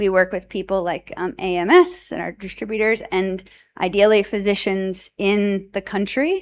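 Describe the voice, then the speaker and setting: It is an unremarkable speaking voice with an American accent and ordinary pitch variation. The background is quiet. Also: woman. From US Northeast, New Jersey. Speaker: addiction researcher. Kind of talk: conference presentation. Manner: casual, many filler ums.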